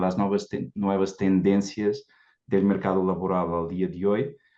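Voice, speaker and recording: Moderate-paced speech in a Portuguese accent, dark and mellow in tone, against a quiet background. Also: man. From Portugal. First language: Portuguese (speaking Spanish). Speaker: recruitment executive. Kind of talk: panel discussion.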